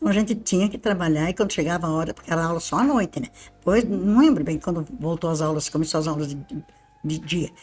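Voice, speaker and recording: Very fast speech with ordinary pitch variation. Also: woman, fairly low pitch for a woman. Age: 80s+. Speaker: retired university maintenance worker. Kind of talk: interview, personal recollection. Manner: informal, chatty.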